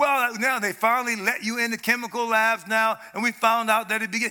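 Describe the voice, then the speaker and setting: A man with an American accent uses a raised, projected voice at an extremely high pitch. His tone is bright, sharp and animated, at a moderate pace. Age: old. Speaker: preacher. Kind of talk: sermon. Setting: church stage with audience.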